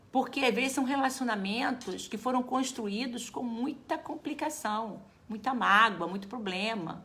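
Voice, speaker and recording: A woman speaks fairly slowly in a fairly high pitch. She has a plain, everyday voice. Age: 60s. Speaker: geriatrician. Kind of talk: live talk to viewers. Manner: casual, conversational.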